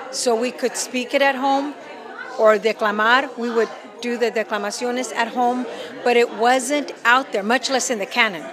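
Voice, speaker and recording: A loud voice with an American accent speaks at a moderate pace with fairly even intonation. Crowd noise sits in the background, along with audible room echo. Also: woman, high pitch for a woman. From El Paso, Texas. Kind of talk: interview.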